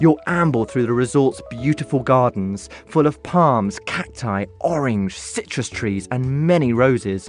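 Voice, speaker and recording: With music in the background, a man speaks fairly slowly at medium pitch with lively intonation and hardly any pauses. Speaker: voice actor. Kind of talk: travel narration.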